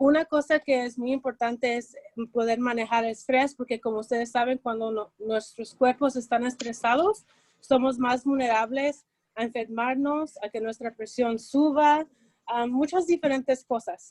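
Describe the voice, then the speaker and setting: A woman's high voice, fairly slow and fairly even in intonation, with a dry, close sound and no echo. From Los Angeles. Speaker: mental health speaker. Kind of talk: presentation.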